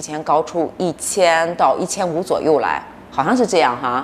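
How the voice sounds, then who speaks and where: A woman's fairly low-pitched voice over light background noise. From northern China. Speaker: YouTuber. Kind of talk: casual chat. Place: home room.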